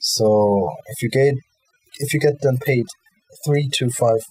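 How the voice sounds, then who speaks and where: Ordinary pitch variation at a fairly slow pace. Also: man. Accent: German. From Germany. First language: German. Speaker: crypto YouTuber. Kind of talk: tutorial. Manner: halting.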